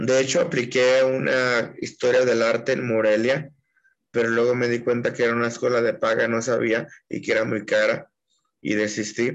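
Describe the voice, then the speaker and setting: With an unremarkable speaking voice, a man talks at a moderate pace and fairly even intonation. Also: medium pitch for a man. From Mexico, Puerto Vallarta (Jalisco). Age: 30s. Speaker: poet. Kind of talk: interview.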